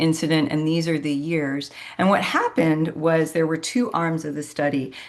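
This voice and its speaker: A woman with a very deep, low pitch speaks at a moderate pace with fairly even intonation. She leaves hardly any pauses, with noticeable background noise behind her. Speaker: medical specialist presenter. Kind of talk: educational presentation.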